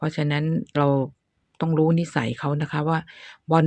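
Her pitch is very deep and low. The background stays quiet. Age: 60s. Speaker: gardening YouTuber. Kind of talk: tutorial. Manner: casual, chatty.

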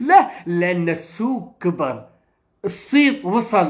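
Here a man talks in an animated tone with very wide pitch swings. The background is quiet. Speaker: film talk show host. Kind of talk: live stream discussion. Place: home room. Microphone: phone near.

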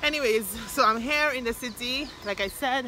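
Noticeable background noise runs under a woman's voice with ordinary pitch variation. The sound itself is dry with no echo. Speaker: vlogger. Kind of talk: casual vlog chat. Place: street. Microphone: phone near.

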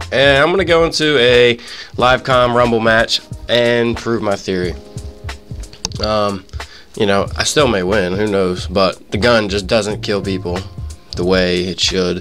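Music plays behind a man with a fairly low pitch and ordinary pitch variation, who talks at a fairly slow pace with long, frequent pauses. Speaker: gamer. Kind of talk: live gameplay commentary. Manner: casual, profane.

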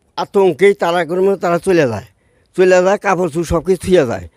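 A high-pitched male voice in a dry, close sound with no echo. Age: 70s. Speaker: elderly witness of the 1971 war. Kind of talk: oral history testimony.

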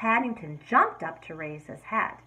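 The clip features an unforced reading voice.

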